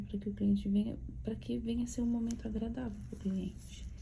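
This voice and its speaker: Soft-spoken, a woman talks at a moderate pace. Audible room echo surrounds her voice. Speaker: beauty course instructor. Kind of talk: tutorial.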